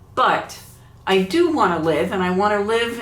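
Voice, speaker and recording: There is noticeable background noise. The room echo is audible too. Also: woman. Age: 70s. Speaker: YouTuber. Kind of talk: casual vlog talk.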